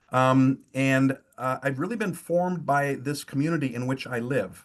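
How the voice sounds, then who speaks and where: A medium-pitched man's voice with a Wisconsin accent. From rural eastern Wisconsin, near Fond du Lac. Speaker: pastor. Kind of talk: webinar talk. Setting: video call from home. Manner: hesitant, many fillers.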